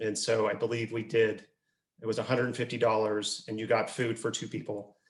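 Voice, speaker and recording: A man talks at a fairly quick pace. His voice is somewhat breathy and medium in pitch. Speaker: nonprofit executive director and fundraising speaker. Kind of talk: webinar presentation answering a question about fundraising events. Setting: video conference call. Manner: conversational, explanatory.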